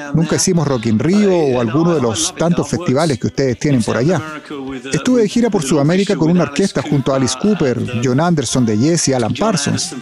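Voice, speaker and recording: Lively intonation from a man at very even loudness, with noticeable background noise behind him. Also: fairly high pitch for a man, fairly quick pace. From Chile. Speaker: podcast host and Spanish voice-over interpreter. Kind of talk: dubbed Spanish voice-over of interview answers.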